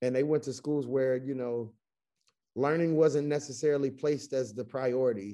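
A man with an American accent, medium pitch, and a dark, mellow tone, at a fairly quick pace with ordinary pitch variation. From US South, Chattanooga, Tennessee. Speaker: educator, school founder. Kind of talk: casual interview. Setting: video call.

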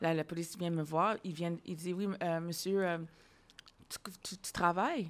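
A woman's fairly low-pitched, monotone voice with flat intonation, at a fairly slow pace. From Ontario, Ottawa. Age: 40s. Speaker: podcast host. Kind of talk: casual interview.

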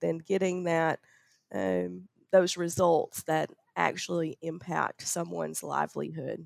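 In a Southern US accent, a woman talks at a fairly slow pace, the sound dry and close with no echo. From Arkansas, US South. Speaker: university researcher and farm station director. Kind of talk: interview, conversational. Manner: laughs often, friendly.

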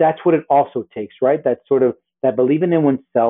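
A man's unremarkable speaking voice with an American accent, medium pitch, fairly even intonation and a fairly quick pace. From US Northeast and Miami, Colombian family. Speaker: apparel entrepreneur, former news journalist. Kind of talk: interview conversation.

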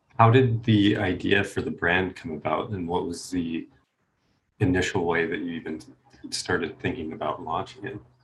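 Somewhat breathy, with big swings in loudness, a man speaks at a very deep, low pitch with ordinary pitch variation. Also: moderate pace. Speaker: podcast host. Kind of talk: interview conversation.

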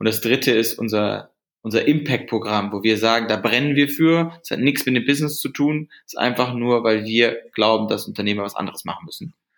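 A man's medium-pitched voice, fairly quick, with ordinary pitch variation. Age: 20s. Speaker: company founder. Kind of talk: interview. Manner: halting.

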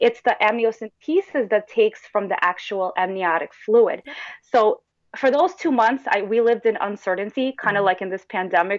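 A woman with a fairly high pitch speaks at a moderate pace in a normal speaking voice, with ordinary pitch variation and big swings in loudness, in a dry, close sound with no echo. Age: 30s. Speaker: mother of twins. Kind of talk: testimony.

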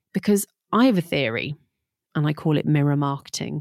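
A woman with an East Midlands accent has a very deep, low pitch and lively intonation at a fairly quick pace. The recording is very clean with a silent background and a dry, close sound with no echo. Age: 40s. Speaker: podcast host, digital marketing coach. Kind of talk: solo podcast monologue, business advice. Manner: casual, conversational.

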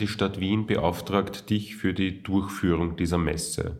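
A man with a fairly low pitch sounds somewhat breathy. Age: 30s. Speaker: podcast host. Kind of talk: interview.

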